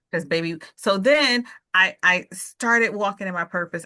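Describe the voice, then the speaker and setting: A woman speaks in a normal speaking voice at medium pitch and a moderate pace. Her pitch variation is ordinary, and the background is quiet. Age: 50s. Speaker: author. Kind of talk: casual chat.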